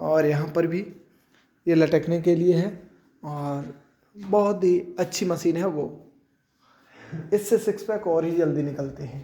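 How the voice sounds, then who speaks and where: A man's high-pitched yet dark, mellow voice with long, frequent pauses. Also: ordinary pitch variation. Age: 20s. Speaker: vlogger showing a gym. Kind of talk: casual vlog banter.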